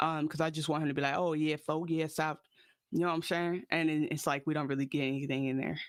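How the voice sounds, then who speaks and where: A man with an American accent, fairly high in pitch, at a very fast pace, with very even loudness, in a very clean recording over a silent background. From US Midwest and Atlanta. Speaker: podcast host. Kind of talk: casual chat. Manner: animated.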